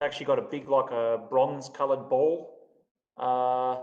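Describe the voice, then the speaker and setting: The delivery from this man is flat and monotone. His voice sits at a medium pitch. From Australia. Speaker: crypto community host. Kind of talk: casual live stream chat. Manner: casual, hesitant with fillers.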